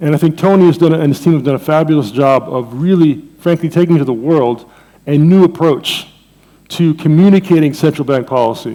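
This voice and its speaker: With an American accent and an unremarkable speaking voice, a man talks at a fairly quick pace and fairly high pitch, with ordinary pitch variation. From Jamaica, Saint Mary. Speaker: economics professor. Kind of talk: conference lecture. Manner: conversational, with fillers.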